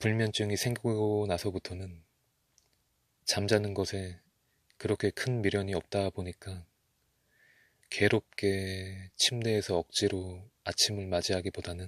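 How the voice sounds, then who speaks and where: At a very slow pace with long, frequent pauses, a man speaks in a fairly low, monotone voice with flat intonation, recorded very cleanly against a silent background. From Korea. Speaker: ASMR creator. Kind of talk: ASMR talk to listener. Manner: soft-spoken.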